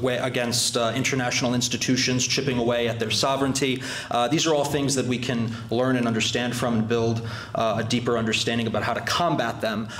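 With very even loudness and monotone, flat intonation, a man talks at a very fast pace amid audible room echo. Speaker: club host introducing a guest. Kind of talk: formal speech. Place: hall.

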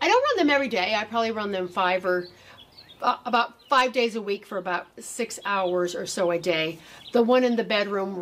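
At a moderate pace and with ordinary pitch variation, the voice comes over light background noise. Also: woman. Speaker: gardening channel host. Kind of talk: tutorial. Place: garden. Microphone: camera far.

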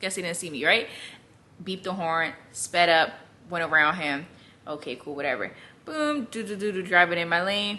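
With a bright, sharp tone and lively intonation, a woman speaks at a moderate pace, leaving long, frequent pauses. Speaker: vlogger. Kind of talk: casual vlog chat. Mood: exasperated, amused. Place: home room. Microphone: phone near.

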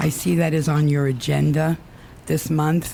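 Noticeable background noise is present. The talking proceeds at a fairly slow pace. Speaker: resident speaking at public comment. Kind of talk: public comment at council meeting. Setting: town council meeting with microphone. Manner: soft-spoken; hesitant, many fillers.

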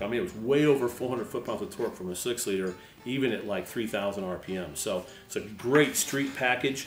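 A man talking at a very fast clip, with audible room echo and faint music in the background. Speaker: host. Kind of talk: tutorial. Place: garage.

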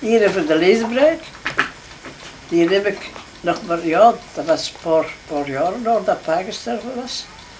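A woman at medium pitch talks very slowly with very wide pitch swings and long, frequent pauses, over light background noise. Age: 80s+. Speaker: grandmother. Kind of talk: casual conversation. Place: home room. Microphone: old recording.

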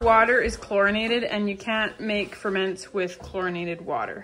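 Light noise runs in the background. A woman talks at moderate speed, her pitch varying in an ordinary way. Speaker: homesteading vlogger. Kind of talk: casual vlog chat. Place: kitchen. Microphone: phone near.

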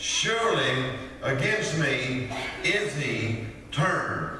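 A man is heard with strong room echo and light background noise. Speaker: preacher. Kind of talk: sermon. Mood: warm, folksy, some laughter. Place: church. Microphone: podium.

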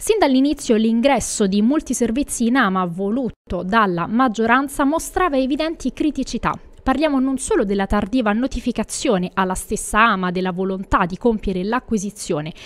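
Speaking fairly quickly, a woman uses lively intonation. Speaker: news presenter. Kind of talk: news reading. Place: studio. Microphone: studio mic.

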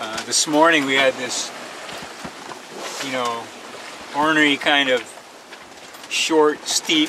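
A man at a very slow pace with fairly even intonation, dry with no echo, over noticeable background noise. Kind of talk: casual vlog chat. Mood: relaxed, pleased. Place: boat. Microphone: phone near.

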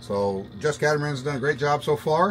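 A man over light background noise. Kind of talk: casual vlog chat. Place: boat. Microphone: phone near.

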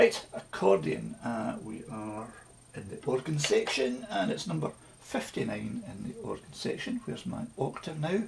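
A man with a Scottish accent uses big pitch swings and vocal fry. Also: medium pitch for a man, moderate pace.

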